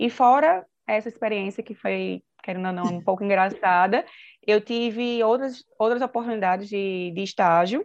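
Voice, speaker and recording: A woman talks in a normal speaking voice at a medium pitch. Her pace is moderate and her pitch variation ordinary. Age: 20s. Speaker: nurse. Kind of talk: interview.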